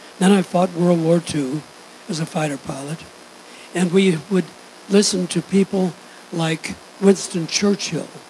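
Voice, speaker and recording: A man speaks fairly slowly in a high voice with fairly even intonation. There is noticeable background noise. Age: 80s+. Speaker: university regent, war veteran. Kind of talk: public remarks.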